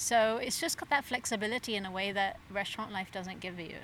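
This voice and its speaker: A woman speaks with an English accent. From England. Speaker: pop-up dinner chef and organizer. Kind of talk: casual interview.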